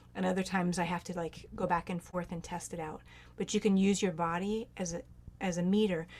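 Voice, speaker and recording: A woman of medium pitch talks at a fairly quick pace with a monotone, flat intonation. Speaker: near-death experiencer and medicine singer. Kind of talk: Q&A advice in online group talk.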